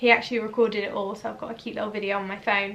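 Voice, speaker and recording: A woman speaks with a Norfolk accent at a fairly high pitch. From eastern England, Norwich. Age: 20s. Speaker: vlogger and hairdresser. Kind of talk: casual Q&A vlog. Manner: chatty, animated.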